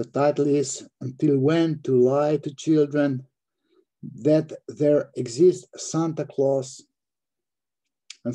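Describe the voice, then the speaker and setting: A man with a dark, mellow tone and fairly high pitch speaks at a very slow pace with fairly even intonation and long, frequent pauses. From Slovenia. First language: Slovenian. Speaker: psychoanalyst. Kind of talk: reading aloud. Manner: halting, self-correcting.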